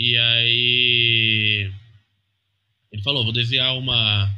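A man with a São Paulo accent talks at medium pitch in a monotone, flat way. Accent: Brazilian Portuguese, São Paulo. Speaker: comic letterer. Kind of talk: interview. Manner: halting.

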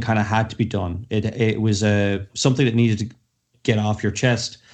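A man is speaking. He has an Irish accent. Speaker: co-host. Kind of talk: casual chat.

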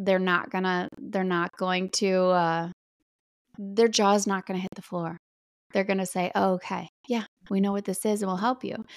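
This woman talks at a moderate pace in a medium pitch, with fairly even intonation. She has a plain, everyday voice, and the recording is very clean with a silent background. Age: 40s. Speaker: sober mom podcaster and content creator. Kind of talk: interview about personal recovery story.

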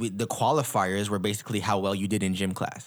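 A man speaks in a normal speaking voice at a moderate pace. His pitch is fairly low. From Ottawa, Canada. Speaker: podcast co-host and kitchen worker. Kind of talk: casual sports chat.

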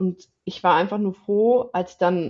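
A woman with a normal speaking voice talks at a moderate pace in a medium pitch, with ordinary pitch variation. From northern Germany, village near Osnabrück. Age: 20s. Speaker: podcast guest sharing patient experience. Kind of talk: casual chat.

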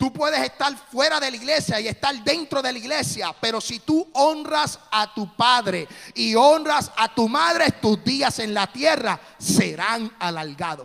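Lively in intonation, a man speaks at a fairly slow pace with an extremely high pitch. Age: 40s. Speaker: pastor. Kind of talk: sermon. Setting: church.

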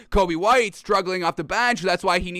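Over music in the background, a man talks in an animated tone with ordinary pitch variation. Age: 20s. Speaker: sports podcast host. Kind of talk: live-streamed sports talk show. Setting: live stream studio.

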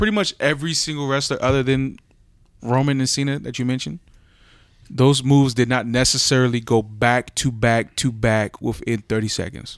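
A man with an American accent in a very clean recording with a silent background. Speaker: podcast co-host. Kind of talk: casual banter. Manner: casual, profane.

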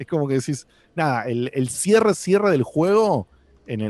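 A man in a Rioplatense accent speaks with very wide pitch swings. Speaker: podcast host. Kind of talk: casual chat.

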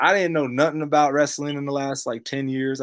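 With an American accent, a man uses a normal speaking voice at a medium pitch and moderate pace, on a very clean recording with a silent background. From US, Tulsa, Oklahoma. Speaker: rapper. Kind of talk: casual chat.

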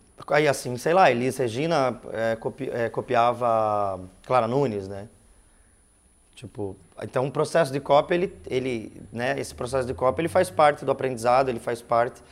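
An ordinary speaking voice from a man, medium in pitch with ordinary pitch variation, at a moderate pace with big swings in loudness. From Curitiba, southern Brazil. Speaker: musician. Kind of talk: casual interview chat.

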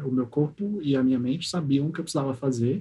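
A dark, mellow tone comes through at a very fast pace, somewhat breathy throughout. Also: man. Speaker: podcast host. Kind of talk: casual chat.

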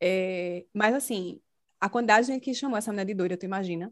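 In a very clean recording with a silent background, a woman speaks fairly quickly at medium pitch with ordinary pitch variation. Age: 30s. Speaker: podcast host. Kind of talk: casual chat.

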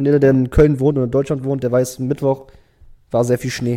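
A man's medium-pitched, dark, mellow voice at a fairly quick pace. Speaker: podcast co-host. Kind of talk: casual chat. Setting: home recording on camera. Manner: animated. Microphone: backup camera, poorer picture.

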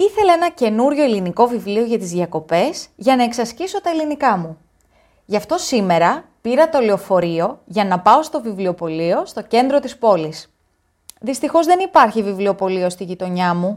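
Very wide pitch swings mark a woman's fairly high voice on a very clean recording with a silent background. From Greece. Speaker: story narrator. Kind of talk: reading aloud. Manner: slow.

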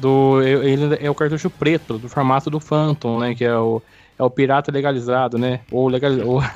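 A man speaks at a moderate pace and a medium pitch with fairly even intonation. The sound is dry and close, with no echo. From Brazil, São Paulo state interior. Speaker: podcast co-host. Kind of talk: casual chat. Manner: halting.

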